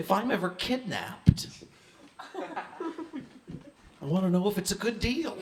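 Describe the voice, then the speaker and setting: Noticeable background noise accompanies a man with an American accent and a high pitch. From Maine, US. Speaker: comedian. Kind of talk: stand-up.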